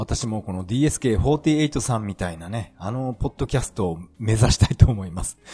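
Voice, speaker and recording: A man speaks at a moderate pace with hardly any pauses, using lively intonation and a fairly low pitch. His tone is dark, mellow and somewhat breathy, in a dry, close sound with no echo. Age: 40s. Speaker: podcaster. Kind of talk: casual monologue.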